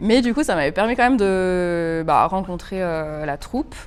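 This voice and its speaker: A woman speaks at a fairly slow pace, with medium pitch and ordinary pitch variation. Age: 30s. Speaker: stage actress. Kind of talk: interview. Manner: hesitant, many fillers.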